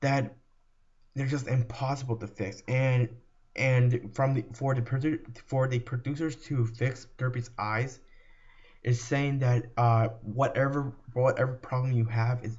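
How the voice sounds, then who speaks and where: Somewhat breathy, a man speaks in monotone, flat intonation at a medium pitch and a fairly slow pace. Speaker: video creator, fan commentator. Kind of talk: commentary video monologue. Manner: halting, many repetitions and fillers.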